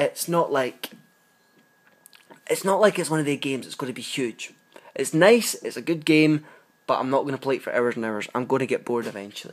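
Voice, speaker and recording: Quick-paced with long, frequent pauses, a man speaks in a British accent at a fairly high pitch with lively intonation. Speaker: app reviewer. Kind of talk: casual review monologue.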